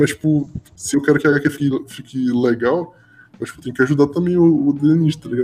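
A man talks at a fairly quick pace in a dark, mellow tone, with big swings in loudness. His pitch sits fairly high, and his intonation stays fairly even. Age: 20s. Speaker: podcast host. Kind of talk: casual chat. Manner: halting.

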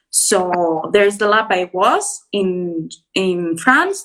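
Enthusiastic in tone, a woman speaks with a Greek accent. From Greece. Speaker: PhD student, biologist. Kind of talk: interview. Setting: live stream.

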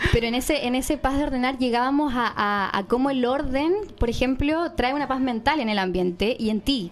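A woman talks at a fairly quick pace with hardly any pauses. Her high pitch shows ordinary pitch variation. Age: 30s. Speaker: podcast co-host. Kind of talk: casual interview.

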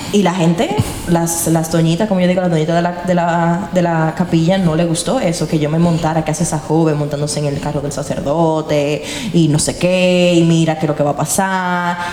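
Over noticeable background noise and audible room echo, a woman speaks at a fairly quick pace with a fairly low pitch and monotone, flat intonation. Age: young. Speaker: podcast host and producer. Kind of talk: casual interview.

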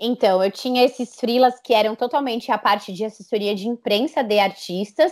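A woman's plain, everyday voice at a moderate pace, with ordinary pitch variation and hardly any pauses. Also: fairly high pitch for a woman. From Brazil, São Paulo. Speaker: entrepreneur, communications agency founder. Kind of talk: interview.

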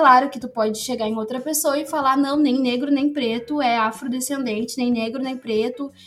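A woman talks at a high pitch. She leaves hardly any pauses. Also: moderate pace. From Rio Grande do Sul, Novo Hamburgo. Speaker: pedagogy student and researcher. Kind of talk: casual interview.

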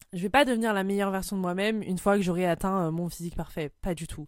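A woman with an ordinary speaking voice, medium pitch and moderate pace, on a very clean recording with a silent background. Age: 20s. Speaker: podcaster. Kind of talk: personal monologue.

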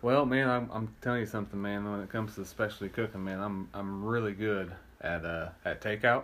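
Using a plain, everyday voice, a man with an American accent talks fairly quickly at a fairly low pitch with fairly even intonation. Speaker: podcast co-host. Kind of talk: casual chat.

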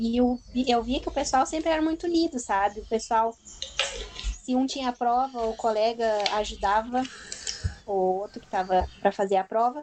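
A woman speaks at a high pitch. Noticeable background noise is present. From southern Brazil, Rio Grande do Sul (Turuçu). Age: 20s. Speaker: university student. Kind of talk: casual chat.

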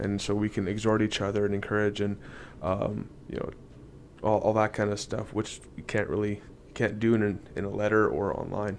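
Speaking with a Canadian accent, a man keeps a moderate pace at a fairly low pitch. His intonation is monotone and flat. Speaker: podcast co-host. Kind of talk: casual chat.

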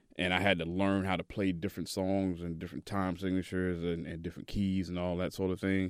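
A man's very deep, low voice in a Southern US accent, very fast and flat, with hardly any pauses and a quiet background. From Tennessee, Chattanooga. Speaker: DJ. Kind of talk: casual interview. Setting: studio.

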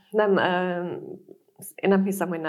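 A woman is speaking. Her pace is fairly slow. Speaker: podcast moderator, business journalist. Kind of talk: panel discussion.

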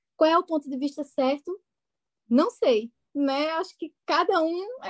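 A woman with a Pernambuco accent speaks with very wide pitch swings in a dry, close sound with no echo. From Brazil, interior of Pernambuco. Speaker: psychologist. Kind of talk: casual podcast interview.

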